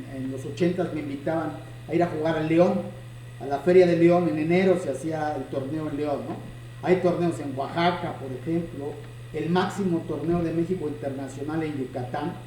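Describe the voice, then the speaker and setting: A man's fairly high voice with fairly even intonation, audible room echo and noticeable background noise. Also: moderate pace. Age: 60s. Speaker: chess teacher and video host. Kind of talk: casual chat.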